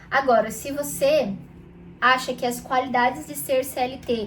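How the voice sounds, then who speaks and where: Noticeable background noise and audible room echo surround a woman speaking in a high pitch with ordinary pitch variation. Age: 20s. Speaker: youtuber. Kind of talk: casual vlog monologue. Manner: conversational, with fillers.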